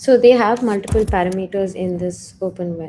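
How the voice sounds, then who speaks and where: A soft-spoken woman talks at medium pitch and a moderate pace. Her pitch variation is ordinary. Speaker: programming instructor. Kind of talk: tutorial. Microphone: too quiet.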